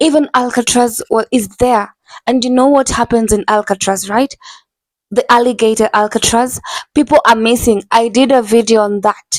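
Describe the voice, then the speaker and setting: A woman speaks at a moderate pace with an animated tone and a fairly high pitch. Her loudness stays very even, and the sound is dry and close with no echo. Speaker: YouTube reaction commentator. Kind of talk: casual vlog commentary. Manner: loud, shouting.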